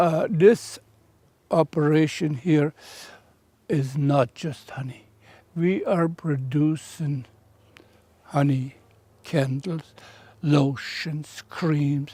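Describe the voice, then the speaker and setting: A man with a fairly high, somewhat breathy voice speaks very slowly with fairly even intonation and long, frequent pauses, recorded very cleanly against a silent background. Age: 80s+. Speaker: beekeeper. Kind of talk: documentary interview answer.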